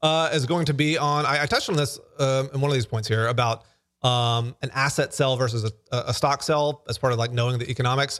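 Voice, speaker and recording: On a very clean recording with a silent background, a man with an American accent talks at a very fast pace, his pitch fairly high with ordinary variation. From US South, Alabama. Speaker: podcast host, startup founder. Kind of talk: solo talk on business lessons. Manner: casual, with fillers and restarts.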